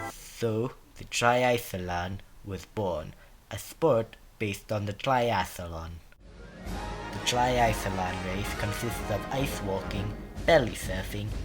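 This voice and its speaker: A man puts on a raspy character voice at a fairly low pitch, talking at a very slow pace with music in the background. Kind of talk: dramatic story reading. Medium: read story.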